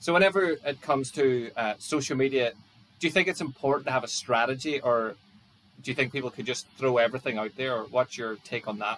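Here a man talks in a normal speaking voice at medium pitch. His pace is fairly quick. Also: ordinary pitch variation. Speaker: podcast host. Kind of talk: interview chat.

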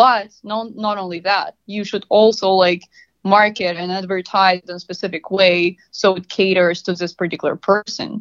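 With a Russian accent, a woman speaks at a moderate pace in a medium pitch. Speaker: marketing analytics consultant. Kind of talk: interview.

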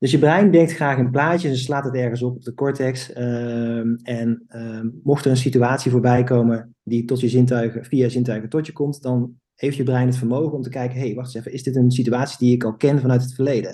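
Dark and mellow in tone, the voice moves at a fairly quick pace with fairly even intonation and hardly any pauses. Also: man, medium pitch for a man. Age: 30s. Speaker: physiotherapist and business owner. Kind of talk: podcast interview. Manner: halting.

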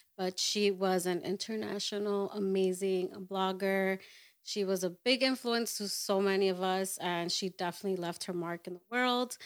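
A woman talks in an unremarkable speaking voice at a medium pitch. Her intonation is fairly even, and the recording is very clean with a silent background. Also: moderate pace. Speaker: photographer. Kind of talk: casual chat.

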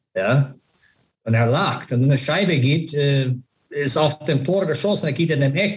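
A man's fairly high, somewhat breathy voice with ordinary pitch variation. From US, Buffalo area. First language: English (speaking German). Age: 50s. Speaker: former ice hockey player and manager. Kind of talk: interview. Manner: halting, mixes English into German.

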